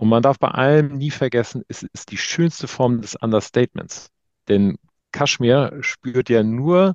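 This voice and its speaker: A man's plain, everyday voice at medium pitch, fairly slow in pace with lively intonation, in a dry, close sound with no echo. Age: 50s. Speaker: fashion retail business owner. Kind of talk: interview.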